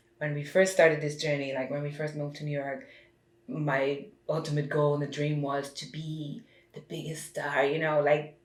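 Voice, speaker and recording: Her pitch is very deep and low, and her intonation is monotone and flat. The woman keeps a moderate pace, with audible room echo around her. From Germany. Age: 30s. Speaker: singer and reality TV personality. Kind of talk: podcast interview.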